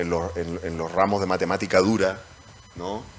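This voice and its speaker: A man's very deep, low voice in a Chilean accent, moderate pace and monotone, flat intonation, over noticeable background noise. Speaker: moderator, economics professor. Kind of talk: panel discussion. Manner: halting.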